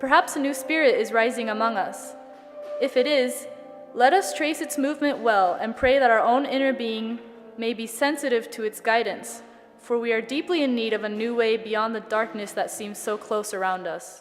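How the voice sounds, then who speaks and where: Music plays in the background as a woman speaks at a moderate pace. Her pitch is fairly high, with ordinary variation. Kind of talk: dramatic reading of a historic speech.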